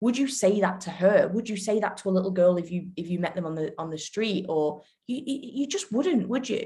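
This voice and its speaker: A woman talks at a fairly quick pace with lively intonation and a medium pitch. Her voice is somewhat breathy, with a dark, mellow tone. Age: 20s. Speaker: podcast host. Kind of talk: casual chat.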